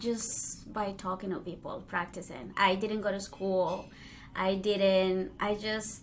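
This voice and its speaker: Amid noticeable background noise and audible room echo, a woman speaks at a very slow pace with a medium pitch and fairly even intonation. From Colombia (Cali), then Spain (Madrid). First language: Spanish. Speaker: DJ and podcast host. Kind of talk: casual interview chat.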